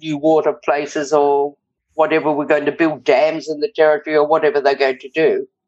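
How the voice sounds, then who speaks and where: In an Australian accent, a woman speaks at a moderate pace with a very deep, low pitch and monotone, flat intonation. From Australia, rural northern New South Wales. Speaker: retired hospital and blood bank worker. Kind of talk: interview storytelling. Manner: vibrant.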